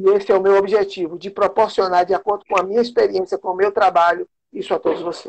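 Monotone, flat intonation at a very fast pace. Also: man, high pitch for a man. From Bahia, Brazil. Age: 50s. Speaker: sports coach and city council candidate. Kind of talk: casual interview. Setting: video call.

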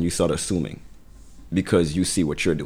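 A man with a Brooklyn accent talks at a fairly quick pace. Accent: New York (Brooklyn). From Brooklyn, New York. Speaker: event organizer, podcast co-host. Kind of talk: casual chat.

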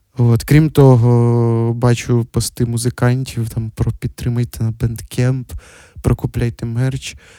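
A man talks very slowly at a medium pitch, his intonation monotone and flat. The sound is dry and close, without echo. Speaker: podcast host. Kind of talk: solo casual monologue. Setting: at home.

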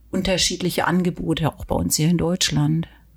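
A woman's fairly low, somewhat breathy voice keeps a fairly even intonation. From southern Germany, Weingarten. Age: 50s. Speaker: pilot and anxiety coach. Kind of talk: casual interview.

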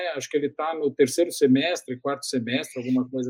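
This man talks at a very fast pace in a fairly high pitch, his intonation monotone and flat. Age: 50s. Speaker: digital communication consultant. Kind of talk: interview. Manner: hesitant, frequent word repetitions.

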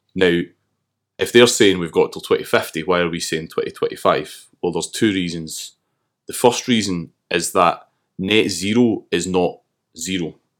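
The recording is very clean, with a silent background. A man with a Glasgow accent talks at a moderate pace. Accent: Scottish (Glasgow). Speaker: climate activist. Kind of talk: casual chat. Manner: halting.

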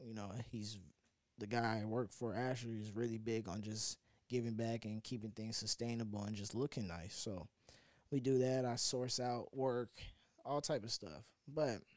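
In a plain, everyday voice, a man talks at a moderate pace with medium pitch and fairly even intonation. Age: 20s. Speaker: podcast host. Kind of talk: casual monologue.

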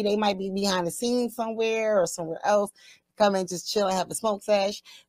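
Speaking at a fairly quick pace, a woman sounds animated with a fairly high pitch. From Pennsylvania. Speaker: cannabis livestream host. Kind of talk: casual chat.

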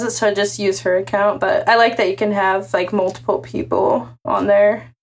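Vocal fry runs through this woman's medium-pitched voice. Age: 20s. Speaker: music video channel co-founder. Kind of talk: casual chat.

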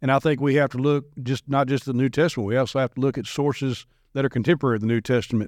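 Over a quiet background, a man talks at a very fast pace in a dry, close sound with no echo. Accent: American. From US South, Nashville area, Tennessee. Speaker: minister. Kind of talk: casual chat.

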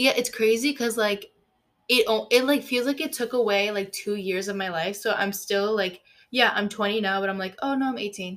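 A woman talks at a moderate pace in an unremarkable speaking voice. Her pitch is fairly high. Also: ordinary pitch variation. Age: 20s. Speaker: podcast co-host, college student. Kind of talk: casual chat.

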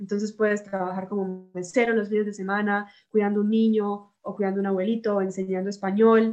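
A woman at a fairly quick pace, with hardly any pauses and a monotone, flat intonation. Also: medium pitch for a woman. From Colombia, Bucaramanga. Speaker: university student. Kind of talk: casual chat.

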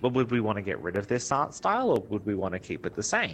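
The voice belongs to a man. He talks in an Australian accent. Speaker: game developer and artist. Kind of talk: interview.

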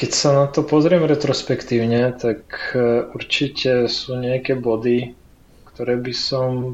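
With a Ukrainian accent, a man speaks at a medium pitch and a fairly slow pace in a monotone, flat intonation. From Ukraine. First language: Ukrainian (speaking Slovak). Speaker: frontend developer. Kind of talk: interview.

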